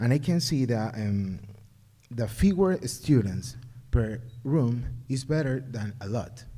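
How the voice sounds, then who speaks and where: A man speaks at a very slow pace in an Ecuadorian accent, with a dark, mellow tone. His voice is somewhat breathy, with ordinary pitch variation. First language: Spanish. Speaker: parent. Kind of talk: public comment at community forum. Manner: halting.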